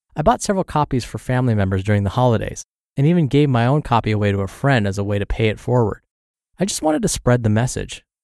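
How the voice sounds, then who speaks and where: Speaking very fast at medium pitch, a man uses lively intonation on a very clean recording with a silent background. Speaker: podcast narrator reading blogs. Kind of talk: reading aloud.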